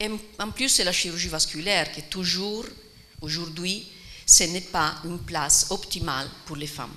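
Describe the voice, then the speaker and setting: A woman with an Italian accent, fairly low in pitch with ordinary pitch variation, at a fairly slow pace, big swings in loudness, audible room echo and noticeable background noise. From Italy. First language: Italian (speaking French). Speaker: surgeon. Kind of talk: round table talk. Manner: halting.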